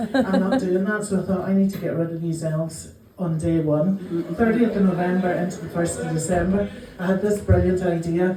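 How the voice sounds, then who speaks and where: In a room with audible echo and noticeable background noise, a woman with a Northern Irish accent talks at a fairly quick pace in a medium pitch. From Northern Ireland. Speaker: comedian. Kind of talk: stand-up. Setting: stage with audience. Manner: animated.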